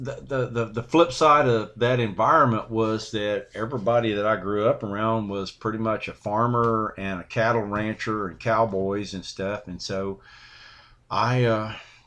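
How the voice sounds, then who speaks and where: Over a quiet background, a man with a Louisiana accent speaks at a moderate pace in a fairly low voice with fairly even intonation. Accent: Southern US (Louisiana). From Louisiana, US South. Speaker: army veteran. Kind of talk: interview conversation.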